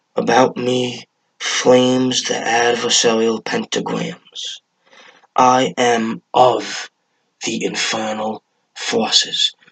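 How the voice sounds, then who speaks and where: A man's put-on character voice at medium pitch and a very slow pace. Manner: ritual, vibrating, incantatory.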